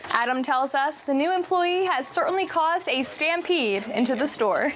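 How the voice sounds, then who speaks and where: Her high voice rises and falls with lively intonation as this woman speaks at a moderate pace and very even loudness, with noticeable background noise behind her. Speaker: TV news anchor and reporter. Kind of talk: TV news reporter package voice-over.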